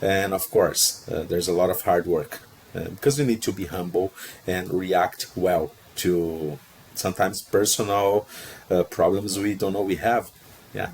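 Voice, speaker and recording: This man has a very deep, low voice and a Portuguese accent, and he talks at a moderate pace. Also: ordinary pitch variation. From Brazil. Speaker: procurement professional, job seeker. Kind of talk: interview conversation.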